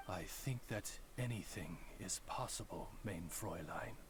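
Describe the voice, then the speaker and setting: A man uses a put-on character voice, pitched fairly low. He speaks at a fairly slow pace over loud background noise. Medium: video game. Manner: formal, courteous.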